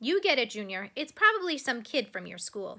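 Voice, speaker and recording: This woman uses a put-on character voice pitched high, with very wide pitch swings. She talks at a fairly quick pace. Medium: read story. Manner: offhand, unbothered.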